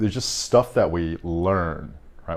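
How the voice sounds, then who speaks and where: A man speaks with an American accent. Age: 30s. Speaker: podcast host. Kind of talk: casual chat. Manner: halting, many fillers and repeats.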